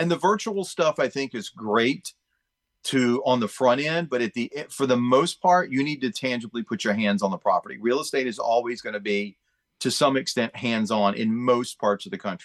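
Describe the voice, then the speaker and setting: A man with a plain, everyday voice speaks at a medium pitch with lively intonation, in a dry, close sound with no echo. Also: moderate pace. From Chesapeake, Virginia, US. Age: 50s. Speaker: real estate agent. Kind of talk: casual interview. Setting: video call.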